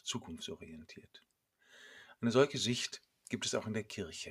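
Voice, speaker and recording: A man talks in a somewhat breathy voice on a very clean recording with a silent background. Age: 50s. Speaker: priest. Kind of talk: scripted sermon.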